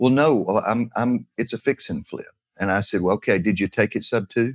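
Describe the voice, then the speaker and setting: In a Southern US accent, a man talks with ordinary pitch variation, the sound dry and close with no echo on a very clean recording with a silent background. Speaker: real estate investor co-host. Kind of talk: casual chat.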